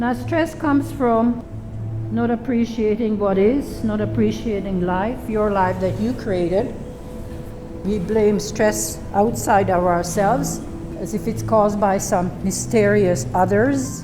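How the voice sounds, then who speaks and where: Music plays in the background and room echo is audible as a woman speaks at a fairly slow pace. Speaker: yoga teacher. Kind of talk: yoga class talk and interview. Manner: talkative, chatty.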